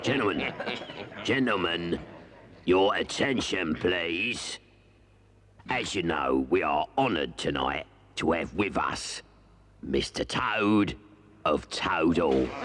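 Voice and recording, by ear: Performing a raspy, cartoonish character voice, a man speaks at a fairly slow pace and a very deep, low pitch, with very wide pitch swings and long, frequent pauses.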